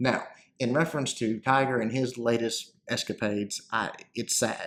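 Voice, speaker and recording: A man talks with a Southern US accent. His intonation stays fairly even. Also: very clean recording, silent background. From US South, North Central Arkansas. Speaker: gaming YouTuber. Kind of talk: casual Q&A commentary. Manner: halting, many fillers.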